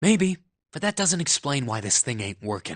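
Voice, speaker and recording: Against a quiet background, a put-on character voice at a low-to-middle pitch makes very wide pitch swings. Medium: video game. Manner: blunt, casual.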